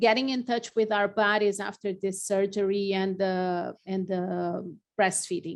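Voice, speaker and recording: Over a quiet background, a woman of medium pitch speaks fairly slowly with a non-native accent, her intonation monotone and flat. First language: not English. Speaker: lactation consultant. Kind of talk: interview. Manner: halting, many fillers.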